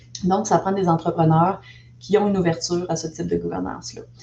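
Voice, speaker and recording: With a normal speaking voice, a woman talks at a fairly quick pace, her pitch fairly low and her intonation fairly even. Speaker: investment network director. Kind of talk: presentation.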